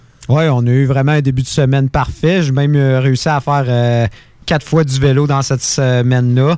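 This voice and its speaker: A man with a Quebec accent speaks at a moderate pace in a medium pitch, his tone dark and mellow with flat, monotone intonation. His loudness stays very even, and the recording is very clean with a silent background. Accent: Québécois French. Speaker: hockey radio panelist. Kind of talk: hockey talk radio panel.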